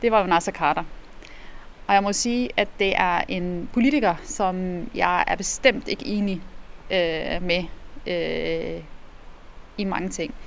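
Over light background noise, a woman talks at a very slow pace with long, frequent pauses and ordinary pitch variation. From Iraq. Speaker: politician. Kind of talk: interview. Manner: hesitant. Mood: calm, thoughtful. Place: street.

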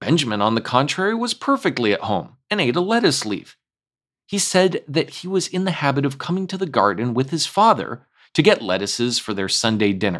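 Heard in a very clean recording with a silent background, a man speaks at a fairly quick pace with a fairly high pitch and very wide pitch swings. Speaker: storyteller, read-aloud narrator. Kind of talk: children's storybook reading.

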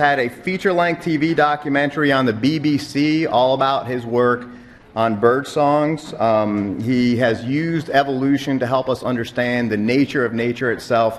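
This man has an ordinary speaking voice with a fairly high pitch. He speaks at a fairly slow pace with ordinary pitch variation. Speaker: university program director introducing speaker. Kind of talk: event introduction. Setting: university lecture hall. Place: classroom. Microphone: podium.

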